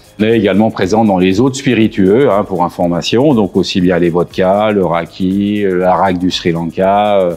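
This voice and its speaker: A man with a very deep, low voice speaks at a fairly slow pace with ordinary pitch variation, very even loudness and hardly any pauses, over noticeable background noise. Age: 60s. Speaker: distillery engineer and rum producer. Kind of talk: interview during a site tour. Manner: hesitant, many fillers.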